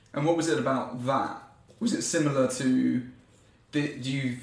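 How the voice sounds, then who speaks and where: A man speaks at a moderate pace with a medium pitch. Noticeable background noise sits behind him. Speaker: podcast host. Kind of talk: casual interview chat.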